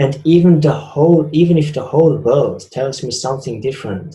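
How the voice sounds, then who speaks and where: The voice is somewhat breathy. Its tone is dark and mellow. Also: man. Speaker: spiritual speaker. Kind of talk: talk.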